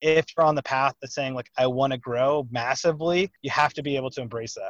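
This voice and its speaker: In a Texan accent, the speaker talks at a very fast pace with fairly even intonation. The sound is dry and close with no echo, against a quiet background. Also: man. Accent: Texan, says y'all. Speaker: real estate lawyer and investor. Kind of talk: podcast interview.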